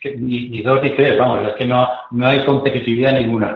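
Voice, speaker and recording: Audible room echo surrounds a man talking at a moderate pace in a medium pitch with monotone, flat intonation. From Zaragoza, Spain. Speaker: former handball captain. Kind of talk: casual chat.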